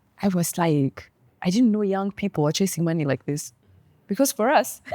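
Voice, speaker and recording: A woman with a Ugandan accent speaks at a moderate pace and medium pitch, with lively intonation. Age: 30s. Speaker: lawyer turned content creator. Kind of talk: interview conversation. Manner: animated.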